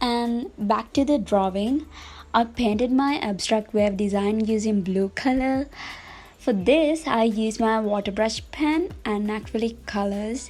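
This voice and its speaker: Somewhat breathy and fairly high-pitched, a woman talks at a fairly slow pace with ordinary pitch variation. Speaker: bullet journal YouTuber. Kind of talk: voiceover narration of drawing tutorial. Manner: casual, friendly.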